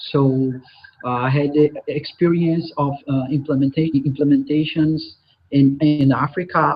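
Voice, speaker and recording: A man with a Brazilian Portuguese accent speaks at a fairly quick pace. His voice is fairly high-pitched and somewhat breathy. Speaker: software consultant and trainer. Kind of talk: conference presentation. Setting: live online conference. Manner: hesitant with frequent filler sounds.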